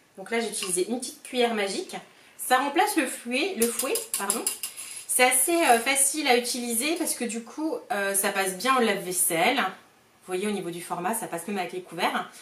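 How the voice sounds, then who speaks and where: Against noticeable background noise, a woman speaks at a fairly quick pace in a fairly high pitch, with very wide pitch swings and big swings in loudness. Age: 30s. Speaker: cooking product sales consultant. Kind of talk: cooking demonstration tutorial. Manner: casual, hesitant with frequent fillers.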